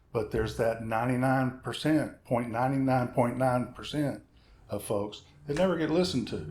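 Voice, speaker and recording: A normal speaking voice from a man, medium in pitch, moderate in pace, with ordinary pitch variation. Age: 60s. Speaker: session guitarist. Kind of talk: casual chat.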